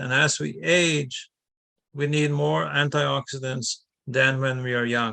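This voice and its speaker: A man's voice sits fairly high in pitch, with a bright, sharp tone. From Norway. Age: 60s. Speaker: naturopathy teacher. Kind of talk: lecture.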